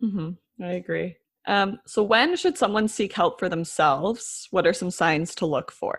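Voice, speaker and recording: A woman's somewhat breathy voice at a fairly slow pace, with ordinary pitch variation, in a very clean recording with a silent background. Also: medium pitch for a woman. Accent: Canadian. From York Region, Ontario, Canada. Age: 20s. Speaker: podcast host. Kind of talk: interview; scripted intro and outro.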